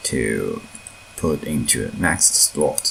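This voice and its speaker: A man with a non-native accent talks at a very slow pace. Noticeable background noise is present. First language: not English. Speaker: mod developer. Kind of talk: tutorial. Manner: halting, with fillers and repeats.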